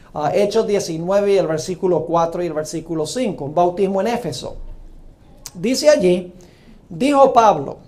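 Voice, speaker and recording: A man with a high voice speaks at a moderate pace with lively intonation, and room echo can be heard. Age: 60s. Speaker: preacher. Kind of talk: sermon.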